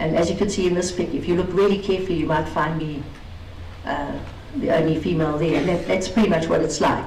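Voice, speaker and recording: A woman's fairly low voice with ordinary pitch variation, audible room echo and noticeable background noise. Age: 50s. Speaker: racing driver and truck business woman. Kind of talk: conference talk.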